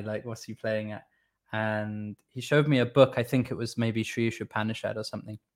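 A man speaks in a flat monotone with a Welsh accent, his pitch medium. The pace is moderate, and the recording is very clean with a silent background. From Wales, Swansea. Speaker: devotional musician. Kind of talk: casual chat.

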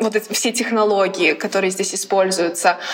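Noticeable background noise sits behind this recording. Over it, a woman talks with fairly even intonation. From Latvia, Riga. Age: 20s. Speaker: college athlete. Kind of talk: casual chat.

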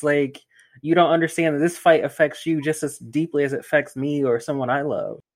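Speaking with an American accent, a man has a fairly high pitch. His pace is fairly quick and his intonation is monotone and flat. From Greensboro, North Carolina. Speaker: podcast host. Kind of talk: casual chat. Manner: casual.

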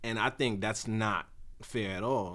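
With ordinary pitch variation, the words come at a moderate pace. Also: man. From New York, Brooklyn. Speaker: podcast co-host. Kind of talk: casual chat.

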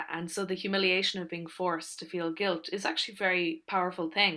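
A woman with an Irish accent speaks in a bright, sharp tone, her fairly low voice held flat and monotone. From Ireland. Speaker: author. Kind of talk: interview.

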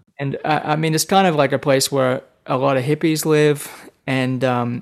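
A man with an Australian accent and a medium-pitched voice, on a very clean recording with a silent background. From Australia, rural New South Wales. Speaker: guitarist. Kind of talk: casual interview.

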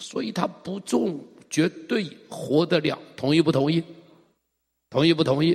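Fairly slow and animated, a man with a fairly high pitch speaks with ordinary pitch variation and long, frequent pauses. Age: 60s. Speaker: pastor. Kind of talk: sermon.

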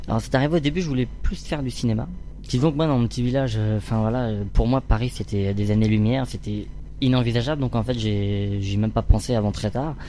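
A man talks at a fairly quick pace. Behind him, music plays. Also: medium pitch for a man, ordinary pitch variation. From France, Orléans region. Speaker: stage actor. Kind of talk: interview. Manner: halting.

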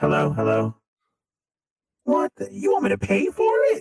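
A man puts on a character voice. He speaks at a moderate pace. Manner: terrifying, menacing.

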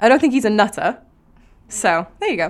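A woman with a Cardiff accent and lively intonation. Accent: Welsh (Cardiff). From Wales. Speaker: aspiring writer. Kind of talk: casual chat. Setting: studio.

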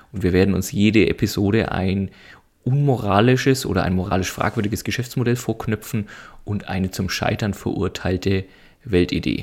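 The recording is very clean, and the background is silent. A man talks at a moderate pace, his fairly low pitch varying in an ordinary way. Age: 30s. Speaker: podcast co-host. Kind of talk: casual chat.

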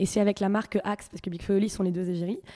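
The tone is dark and mellow. Delivery comes at a very fast pace with fairly even intonation. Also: woman. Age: 20s. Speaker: singer-songwriter. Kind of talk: radio interview. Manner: hesitant, many fillers.

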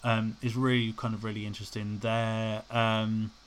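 With a British accent, a man talks at a moderate pace and a medium pitch. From UK. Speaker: podcast host. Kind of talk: solo podcast monologue. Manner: rambling, casual with frequent fillers.

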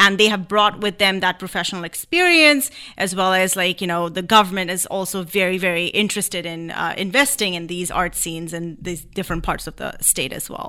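A woman talks at a fairly quick pace in a bright, sharp tone with big swings in loudness, on a very clean recording with a silent background. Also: medium pitch for a woman, ordinary pitch variation. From India. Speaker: dancer and choreographer. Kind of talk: casual interview. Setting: radio studio.

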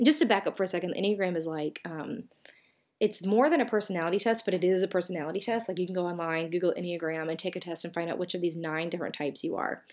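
A woman talks at a very fast pace in a Southern US accent. Her pitch is fairly low, with ordinary variation. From US South. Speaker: podcast host and author. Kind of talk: solo podcast talk. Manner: casual, conversational.

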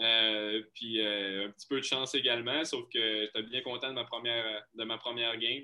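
A man talks with hardly any pauses. His intonation stays monotone and flat. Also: medium pitch for a man, moderate pace. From Quebec, Lac-Saint-Jean. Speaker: hockey goaltender. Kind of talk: interview. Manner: halting, many repetitions.

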